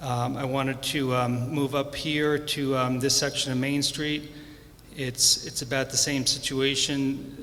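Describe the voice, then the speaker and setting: A man's flat, monotone delivery at a fairly slow pace, over noticeable background noise. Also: fairly high pitch for a man. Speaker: property owner speaking at public comment. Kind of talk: public comment with slides. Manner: soft-spoken; halting.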